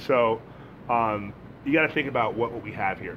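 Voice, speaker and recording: A man's medium pitch at a very fast pace, with ordinary pitch variation. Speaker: business owner and managing director. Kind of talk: casual interview chat. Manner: loud, sociable talker.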